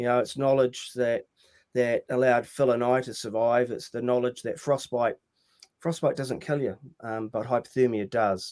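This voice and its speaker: Someone with a New Zealand accent speaks at a moderate pace and fairly even intonation, in a dry, close sound with no echo. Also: man, medium pitch for a man. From rural New Zealand. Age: 60s. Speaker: mountaineer and motivational speaker. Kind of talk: podcast interview. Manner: hesitant, many fillers.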